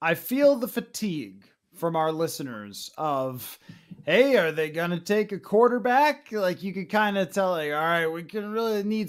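Over a quiet background, the speaker moves at a moderate pace with lively intonation. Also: man. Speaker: podcast host. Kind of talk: podcast commentary.

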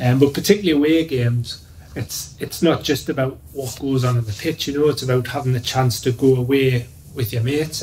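Somewhat breathy, a man talks at a moderate pace over light background noise. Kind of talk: interview answer. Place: office.

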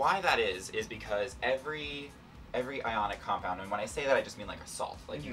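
A man's voice with big swings in loudness over faint background music. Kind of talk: casual explanatory chat.

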